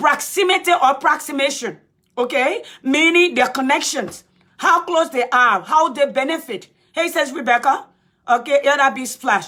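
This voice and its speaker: With a Liberian accent, a woman raises and projects her high-pitched voice at a moderate pace, her bright, sharp tone animated and her intonation lively. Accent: African (Liberian). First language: a Liberian native language. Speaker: political commentator. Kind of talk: live-stream talk. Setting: Facebook live stream.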